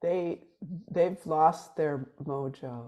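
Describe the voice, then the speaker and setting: A woman's voice has a dark, mellow tone against a quiet background. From Sweden. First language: Swedish. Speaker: musician. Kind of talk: casual chat.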